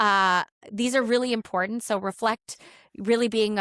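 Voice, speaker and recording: A woman with an unremarkable speaking voice at a moderate pace and ordinary pitch variation, in a very clean recording with a silent background and a dry, close sound with no echo. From Canada. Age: 40s. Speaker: educator and author. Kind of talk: podcast interview.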